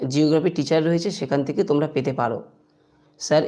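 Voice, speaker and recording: This woman's very deep, low voice has a dark, mellow tone and fairly even intonation. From West Bengal, India (Bardhaman). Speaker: history teacher. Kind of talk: live-stream Q&A with viewers. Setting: YouTube live stream.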